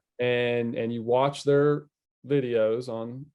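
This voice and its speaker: In a Southern US accent, a man speaks with fairly even intonation. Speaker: fishing media specialist. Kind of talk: casual chat.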